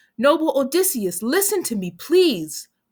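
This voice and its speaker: A woman does a put-on character voice, high in pitch with very wide pitch swings, at a moderate pace. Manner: pleading, smooth.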